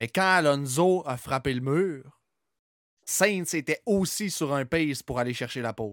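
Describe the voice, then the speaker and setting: Recorded very cleanly over a silent background, with a dry, close sound and no echo, a man in a Quebec accent speaks at a fairly slow pace with ordinary pitch variation. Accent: Québécois French. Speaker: podcast host. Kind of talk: casual chat.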